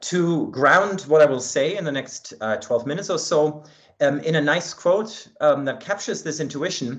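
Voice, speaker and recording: In a German accent, a man speaks at a moderate pace. His pitch is fairly high, with ordinary variation. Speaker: linguistics researcher. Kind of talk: academic talk. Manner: hesitant with fillers.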